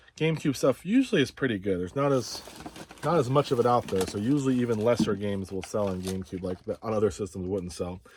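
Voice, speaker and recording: A man talks at a very fast pace in a fairly low voice, with ordinary pitch variation. Noticeable background noise runs under the recording. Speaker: reseller. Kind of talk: casual haul video.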